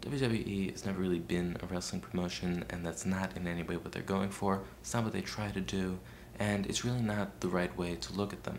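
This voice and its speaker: The soft-spoken voice moves at a fairly quick pace with ordinary pitch variation, heard with audible room echo and noticeable background noise. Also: man, very deep, low pitch for a man. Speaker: video blogger. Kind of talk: video response monologue. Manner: soft-spoken, very quiet; hesitant, many fillers.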